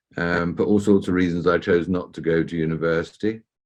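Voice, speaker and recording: A man speaks with a southern English accent in a very deep, low voice. His intonation is flat and monotone. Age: 60s. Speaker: entrepreneur and mentor. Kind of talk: interview. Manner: hesitant fillers.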